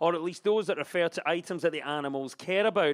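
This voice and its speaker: On a very clean recording with a silent background, a man with a Scottish accent speaks at a high pitch. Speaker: comedy panel show host. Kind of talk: scripted topical comedy links. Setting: stage with audience.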